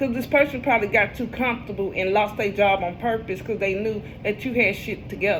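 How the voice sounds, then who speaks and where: A woman's fairly high voice, with ordinary pitch variation, is heard through noticeable background noise and audible room echo. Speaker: tarot reader. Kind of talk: casual tarot reading monologue. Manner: animated.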